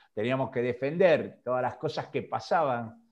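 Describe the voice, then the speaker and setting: The voice is a normal speaking voice. It moves at a fairly slow pace. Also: man. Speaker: semiotics scholar. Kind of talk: interview. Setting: video call.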